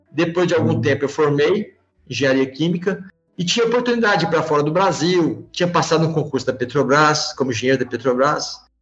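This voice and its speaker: A fairly high-pitched man at a fairly quick pace, with ordinary pitch variation and very even loudness, over music in the background. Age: 50s. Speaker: company CEO. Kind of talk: interview.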